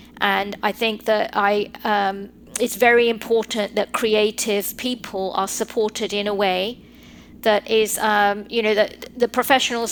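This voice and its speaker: A woman with a British accent speaks at a fairly high pitch in a flat, monotone delivery. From England (North London), Sri Lankan heritage. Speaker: lawyer. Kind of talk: podcast interview.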